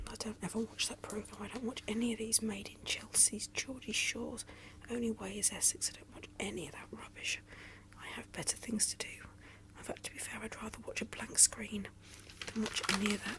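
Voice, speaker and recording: A woman whispers in a British accent at a fairly quick pace, her loudness swinging widely, with noticeable background noise. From England. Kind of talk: ASMR magazine flip, casual chat. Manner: soft-spoken, whispery.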